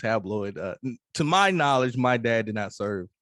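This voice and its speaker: Speaking with a Mississippi accent at a medium pitch, a man comes through dry and close with no echo in a very clean recording over a silent background. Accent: Southern US (Mississippi). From US South, Mississippi. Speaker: hip-hop artist and Air Force veteran. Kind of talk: interview conversation. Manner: halting, many fillers.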